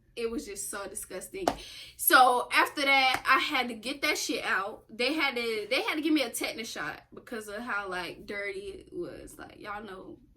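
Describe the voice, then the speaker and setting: A woman speaks at a moderate pace with high pitch and very wide pitch swings. Her loudness swings widely, and there is noticeable background noise. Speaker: YouTube co-host. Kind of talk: storytime casual chat.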